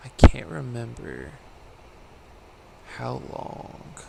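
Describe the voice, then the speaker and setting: Noticeable background noise and audible room echo both fill the recording. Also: man. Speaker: video game streamer. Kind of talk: live gameplay commentary. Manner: casual, rambling.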